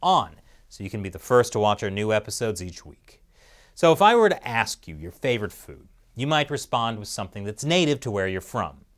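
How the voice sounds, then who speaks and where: A man speaks at a fairly quick pace in a fairly low pitch, his intonation lively and his loudness swinging widely, over a quiet background. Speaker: show host. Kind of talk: scripted news commentary with jokes. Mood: wry, lightly humorous. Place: studio. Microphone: lapel.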